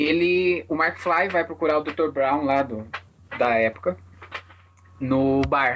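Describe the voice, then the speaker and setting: Very slow delivery broken by long, frequent pauses. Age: 20s. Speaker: podcast host. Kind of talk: casual chat.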